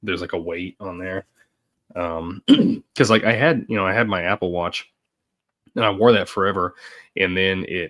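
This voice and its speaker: A man's very deep, low voice with a bright, sharp tone, fairly even intonation and long, frequent pauses. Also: moderate pace, dry, close sound with no echo. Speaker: podcast co-host. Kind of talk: casual chat.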